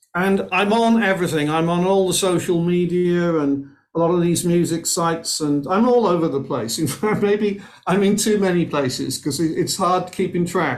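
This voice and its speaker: A man with a Welsh accent speaks in a high pitch at a moderate pace, with ordinary pitch variation and very even loudness. Audible room echo surrounds the voice. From Wales, Cardiff. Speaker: musician. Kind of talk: casual chat.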